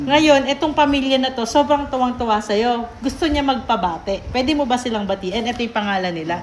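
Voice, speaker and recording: A woman's high-pitched, lively intonation at a fairly quick pace, with noticeable background noise. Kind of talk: casual talk to camera.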